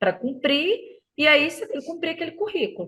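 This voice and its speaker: A woman's raised, projected voice in a Minas Gerais accent, bright and sharp, at a fairly quick pace with very wide pitch swings. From Minas Gerais, Brazil. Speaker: teacher. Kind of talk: podcast interview answer. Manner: chatty, hesitant.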